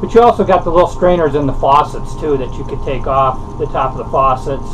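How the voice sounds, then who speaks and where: Amid noticeable background noise, a man talks at a fairly quick pace with ordinary pitch variation. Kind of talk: casual how-to vlog. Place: boat. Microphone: camera far.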